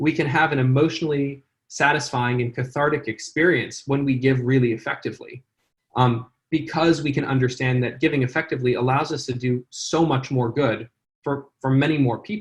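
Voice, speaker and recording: Somewhat breathy and fairly high-pitched, a man speaks with an American accent. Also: fairly even intonation, fairly quick pace. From California. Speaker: charity founder and CEO. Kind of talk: interview. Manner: hesitant, many fillers.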